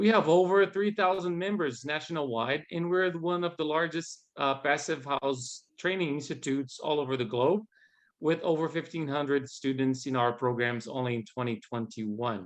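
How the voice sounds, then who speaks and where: With a Portuguese accent, a man speaks at a fairly high pitch and moderate pace, his intonation lively. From Brazil. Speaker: guest host, training manager. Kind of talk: event introduction. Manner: halting.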